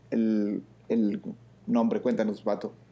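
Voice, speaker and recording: A fairly slow male delivery in a dark, mellow tone, its pitch varying in an ordinary way. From Mexico. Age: 30s. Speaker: physician, internist and nephrologist podcast co-host. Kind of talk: casual chat.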